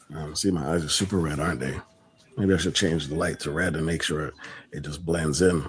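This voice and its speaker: A man's very deep, low voice in a calm tone, fairly even in intonation, over noticeable background noise. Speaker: live stream host. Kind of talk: casual live stream chat. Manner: calm, mellow. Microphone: echo briefly.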